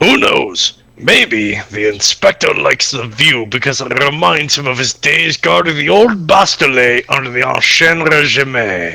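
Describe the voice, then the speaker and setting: A put-on character voice rattles along at a moderate pace with hardly any pauses. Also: man, medium pitch for a man. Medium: game stream. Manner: dry, deadpan.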